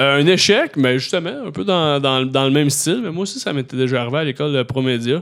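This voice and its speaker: A man with a plain, everyday voice talks at a fairly quick pace with hardly any pauses, his fairly high pitch showing ordinary variation. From Quebec, Beauharnois area. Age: 30s. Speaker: comedian and YouTube creator. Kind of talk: casual chat. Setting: studio.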